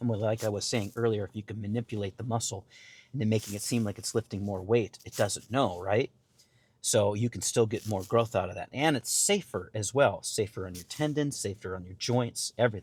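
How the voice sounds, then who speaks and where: Somewhat breathy, a man talks at a fairly quick pace with ordinary pitch variation and big swings in loudness. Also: fairly low pitch for a man, very clean recording, silent background. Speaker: fitness vlogger. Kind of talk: casual vlog talk. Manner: halting, many fillers.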